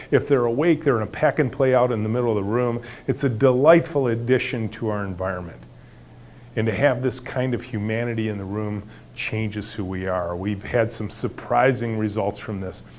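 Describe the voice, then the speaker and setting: At a fairly quick pace, a man talks in an ordinary speaking voice with a medium pitch and ordinary pitch variation. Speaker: company founder giving a talk. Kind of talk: talk to an audience.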